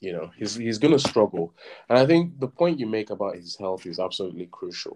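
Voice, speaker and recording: At a fairly quick pace, a man's voice swings very widely in pitch and greatly in loudness. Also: fairly low pitch for a man. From southern Nigeria. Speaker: podcast co-host. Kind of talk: casual chat.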